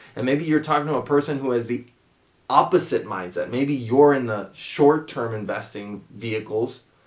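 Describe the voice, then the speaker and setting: On a very clean recording with a silent background, a man with a fairly high pitch talks at a moderate pace, his pitch varying in an ordinary way. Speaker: investing YouTuber. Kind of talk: talking-head tutorial. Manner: casual, with self-corrections.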